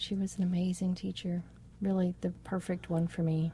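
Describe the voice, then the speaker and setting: A woman speaks at a fairly slow pace with a fairly low pitch and monotone, flat intonation. Her tone is dark, mellow and somewhat breathy. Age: 40s. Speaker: dancer. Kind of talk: interview. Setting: farmer's market.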